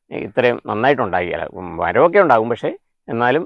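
A man speaks with lively intonation and vocal fry. The sound is dry with no echo, against a quiet background. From Kerala. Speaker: retired headmaster and farmer. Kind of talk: interview. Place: garden. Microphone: lapel.

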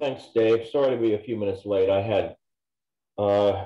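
A man speaks at a fairly low pitch. Audible room echo fills the recording. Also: quiet background. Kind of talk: meeting status update. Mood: friendly, relaxed. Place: workshop. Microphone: video call.

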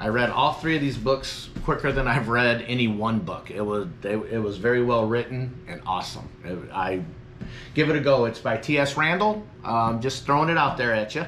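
A man speaks at a moderate pace. There is light background noise. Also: ordinary pitch variation. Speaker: gig delivery driver vlogger. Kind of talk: casual vlog chat. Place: home room. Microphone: phone near.

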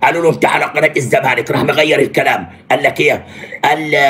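A man speaks with music in the background. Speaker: sports commentator on a live stream. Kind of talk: commentary. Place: home room. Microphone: phone near.

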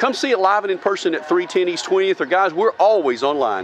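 A man talks at a fairly quick pace. The sound is dry with no echo, with light background noise. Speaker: car salesperson. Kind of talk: sales walkaround commentary. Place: street. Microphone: phone near.

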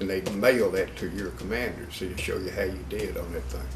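A man speaks at a moderate pace. Noticeable background noise is present throughout. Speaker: war veteran. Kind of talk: interview answer.

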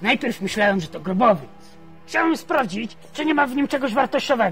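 Put-on character voice at a fairly high pitch over clear music in the background. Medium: machinima. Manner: brusque, commanding.

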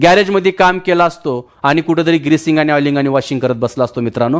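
This is a man with a normal speaking voice, pitched fairly high, with ordinary pitch variation. The recording is very clean, with a silent background. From Maharashtra, Marathwada (Latur district). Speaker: direct selling entrepreneur. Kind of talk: testimony.

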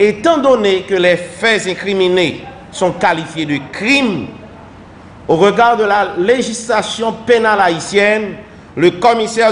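Over light background noise, the speaker goes at a very slow pace with ordinary pitch variation. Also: man. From Haiti. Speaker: government minister. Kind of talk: official statement. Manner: formal. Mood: formal, measured. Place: office. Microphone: podium.

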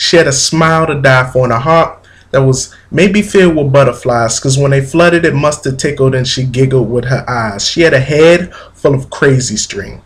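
A man talks at a moderate pace with a fairly high, somewhat breathy voice and ordinary pitch variation. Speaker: spoken word poet. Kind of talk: poetry reading. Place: home room. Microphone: webcam.

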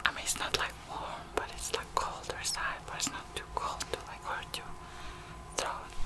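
Whispering from a woman, at a moderate pace. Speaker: ASMR artist. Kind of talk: ASMR personal attention roleplay, talking to the listener. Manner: soft, gentle, caring. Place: home room. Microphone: studio mic.

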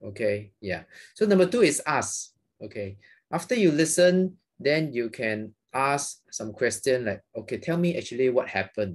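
In a Malaysian accent, a man with a fairly high pitch speaks at a moderate pace with very wide pitch swings against a quiet background. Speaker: psychiatrist; guest. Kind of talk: interview. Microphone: video call.

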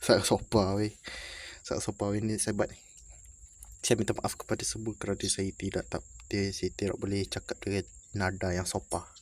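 On a very clean recording with a silent background, a soft-spoken man with a fairly low pitch talks in a flat monotone with long, frequent pauses. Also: moderate pace. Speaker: YouTuber. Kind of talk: casual vlog. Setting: in a building, away from home. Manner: quiet, speaking softly.

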